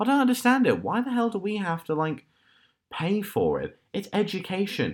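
This man speaks in a British accent at a moderate pace, his pitch high with ordinary variation. The recording is very clean, with a silent background. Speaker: podcast host. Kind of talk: casual chat. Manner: halting.

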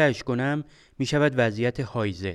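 A man with an unremarkable speaking voice and medium pitch talks at a moderate pace with ordinary pitch variation, captured in a very clean recording with a silent background. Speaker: podcast host, computer engineer. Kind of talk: storytelling narration.

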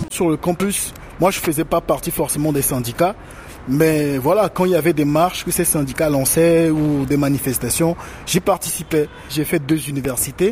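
Noticeable background noise sits behind a man with a fairly high pitch. He talks at a moderate pace with fairly even intonation and very even loudness. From Togo. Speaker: rapper and activist. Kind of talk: interview. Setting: remote call from Lomé.

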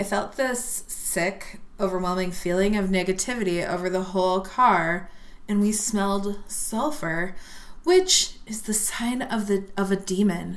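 At a fairly slow pace, a woman with a plain, everyday voice shows ordinary pitch variation. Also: medium pitch for a woman. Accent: American. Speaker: podcast co-host. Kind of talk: casual chat, drinking and telling ghost stories.

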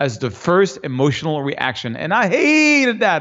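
A man's high voice with a French accent. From France. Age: 50s. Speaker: fine art landscape photographer. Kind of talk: interview conversation. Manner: halting.

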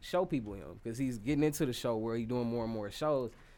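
A man's medium-pitched voice, a plain, everyday voice with ordinary pitch variation. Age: 20s. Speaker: rapper. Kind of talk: casual chat.

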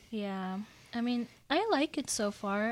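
In a very clean recording with a silent background, a woman speaks at a fairly high pitch. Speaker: college student guest. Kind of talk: casual chat. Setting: radio studio.

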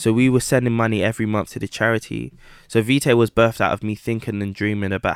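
Fairly quick speech with a London accent and fairly even intonation, dry and close with no echo, on a very clean recording over a silent background. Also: man. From Southeast London (Camberwell/Peckham), British Ghanaian. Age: 20s. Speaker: entrepreneur, watch brand founder. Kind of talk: interview.

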